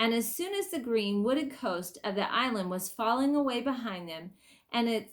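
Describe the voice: Just plain reading aloud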